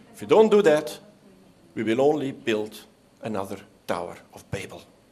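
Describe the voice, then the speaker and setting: The loudness swings widely and the intonation is lively at a moderate pace. Room echo is audible. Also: man, medium pitch for a man. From Belgium. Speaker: statistics official. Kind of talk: conference speech. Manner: formal.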